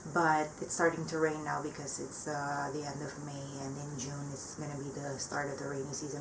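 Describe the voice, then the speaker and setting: Audible room echo and noticeable background noise behind a woman's very deep, low voice, monotone and flat at a moderate pace. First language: not English. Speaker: plant hobbyist vlogger. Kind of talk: casual vlog update. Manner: hesitant, many fillers.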